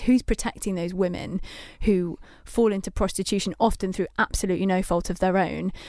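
On a very clean recording with a silent background, a woman with a Mancunian accent talks at a very fast pace, her medium pitch showing ordinary variation in a dark, mellow tone. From Manchester, England. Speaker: magazine editor, co-host. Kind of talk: casual chat. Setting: studio.

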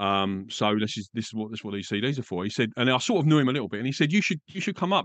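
Someone with an Essex accent talks at a very fast pace, the pitch swinging very widely. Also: man. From England. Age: 50s. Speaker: podcast guest, radio presenter and dad. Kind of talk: casual interview chat. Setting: video call.

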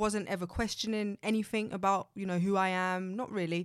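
A woman with an unremarkable speaking voice talks at a fairly quick pace and medium pitch. Her intonation is fairly even, in a very clean recording with a silent background. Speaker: confidence coach. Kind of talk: casual interview chat.

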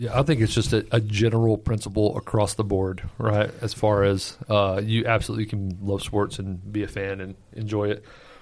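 The recording is very clean, with a silent background. Speech comes at a moderate pace in a monotone, flat intonation. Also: man, fairly low pitch for a man. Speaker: podcast co-host. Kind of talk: casual chat.

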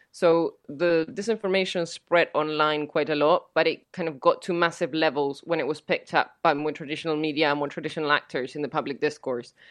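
A woman speaks with a Spanish accent. Her pitch is very deep and low, with ordinary pitch variation. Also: fairly quick pace, hardly any pauses. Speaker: fact-checking organization director. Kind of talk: interview.

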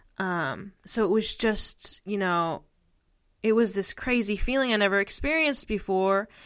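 With an American accent, a woman speaks at a moderate pace and medium pitch, with ordinary pitch variation and a normal speaking voice. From US Northeast, northeastern Pennsylvania. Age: 20s. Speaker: podcast co-host, mental health advocate. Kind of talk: personal storytelling monologue.

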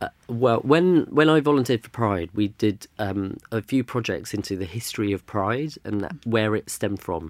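A man with a London accent, medium-pitched, at a moderate pace with lively intonation and hardly any pauses, in a very clean, silent recording with a dry, close sound and no echo. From London, England. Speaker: culture consultant. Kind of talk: interview conversation.

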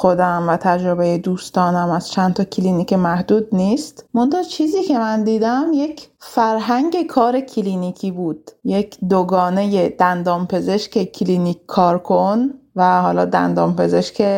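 Barely pausing, a woman of medium pitch talks in a dark, mellow tone. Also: ordinary pitch variation, fairly slow pace. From Iran, Kurdistan (Sanandaj). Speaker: dentist. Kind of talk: personal story.

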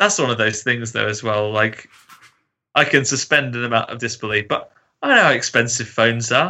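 An unremarkable speaking voice from a man, medium in pitch, with ordinary pitch variation and a fairly quick pace. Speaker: guest film fan. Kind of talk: casual chat.

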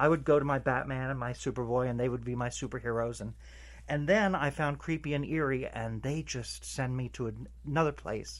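A man with a New Jersey accent speaks at a moderate pace. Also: very clean recording, silent background. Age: 60s. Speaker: retired postal worker. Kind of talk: interview. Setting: comic book shop.

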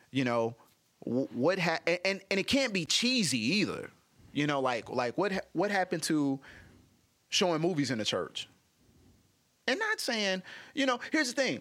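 On a very clean recording with a silent background, a man with a high pitch talks at a moderate pace in a bright, sharp, animated tone, his very wide pitch swings set against very even loudness and long, frequent pauses. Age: 50s. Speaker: actor, comedian and radio host. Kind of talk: casual interview.

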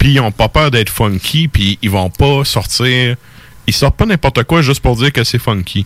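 A man speaks with a Quebec accent at medium pitch, a moderate pace and ordinary pitch variation. His loudness stays very even, and the sound is dry and close with no echo. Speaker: radio host. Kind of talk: casual chat. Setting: studio.

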